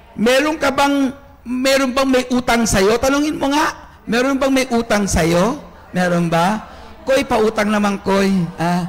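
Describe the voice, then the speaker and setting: Noticeable background noise surrounds a man with an extremely high pitch. He speaks at a fairly slow pace with very even loudness and ordinary pitch variation. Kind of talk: sermon. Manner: animated.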